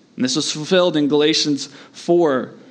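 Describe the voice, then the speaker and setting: A man speaks with a fairly high pitch. Audible room echo surrounds his voice. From US Southeast. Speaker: pastor. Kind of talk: sermon.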